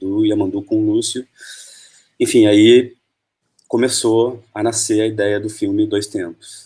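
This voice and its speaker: A man's pitch varies in an ordinary way as he talks fairly slowly. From Argentina, moved to Brazil early 1980s. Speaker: film director. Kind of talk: interview.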